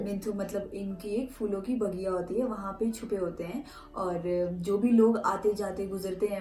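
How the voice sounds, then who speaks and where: A woman's fairly even intonation over music in the background. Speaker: folk tale narrator and translator. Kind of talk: retelling a folk tale in Hindi.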